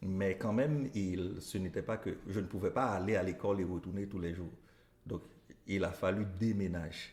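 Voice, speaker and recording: A man talks at a moderate pace with fairly even intonation. His voice is very deep and low. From Haiti, northeast village near Cap-Haïtien. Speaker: elementary school teacher. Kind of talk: interview.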